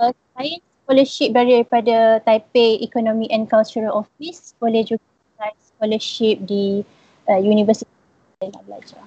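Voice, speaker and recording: Somewhat breathy and dark, mellow in tone, a woman's fairly high voice moves at a moderate pace with fairly even intonation and big swings in loudness, in a dry, close sound with no echo. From Malaysia, Perak. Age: 20s. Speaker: recent university graduate. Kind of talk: live-stream interview, sharing experience.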